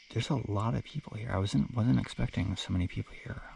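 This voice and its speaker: A soft-spoken man has a fairly low pitch, a dark, mellow tone and vocal fry. His intonation is lively. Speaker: long-distance hiker vlogger. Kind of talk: casual vlog narration. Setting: in a tent at a campsite. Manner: halting, many fillers.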